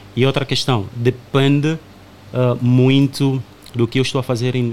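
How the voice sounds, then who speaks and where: Noticeable background noise sits under a man whose voice is at a medium pitch. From Angola. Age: 30s. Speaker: podcast guest. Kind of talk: casual chat.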